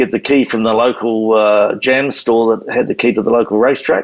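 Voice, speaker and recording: Fairly even intonation and a moderate pace mark this speaker with a New Zealand accent. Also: man. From New Zealand, Canterbury. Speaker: retired motorcycle racer. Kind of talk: interview storytelling.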